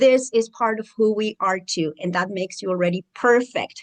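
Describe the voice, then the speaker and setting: A woman with a strong Mexican accent and a fairly high pitch speaks at a moderate pace. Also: dry, close sound with no echo. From Mexico. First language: Spanish. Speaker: educator and mentor for international students. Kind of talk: channel introduction monologue.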